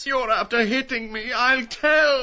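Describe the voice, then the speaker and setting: Her intonation is fairly even. The woman's voice is high. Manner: whimpering, complaining.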